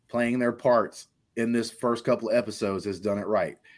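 A man speaks with a Southern US accent at a medium pitch and a fairly quick pace. The recording is very clean, with a silent background. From Alabama. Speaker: pop culture podcast host. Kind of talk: casual chat. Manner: animated.

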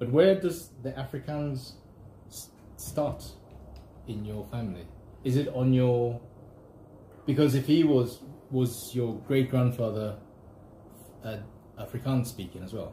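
A man with a medium pitch and a dark, mellow, somewhat breathy tone talks at a fairly slow pace with long, frequent pauses. His loudness swings widely while his pitch varies in an ordinary way. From Zambia (Kitwe mining town). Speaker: podcast host. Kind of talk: casual chat. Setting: outdoors walking dogs.

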